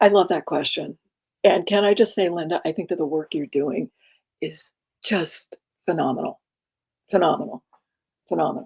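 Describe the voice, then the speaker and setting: A woman with vocal fry and a fairly low pitch speaks at a moderate pace, with long, frequent pauses, ordinary pitch variation, and a dry, close sound with no echo. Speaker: executive coach. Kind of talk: interview conversation.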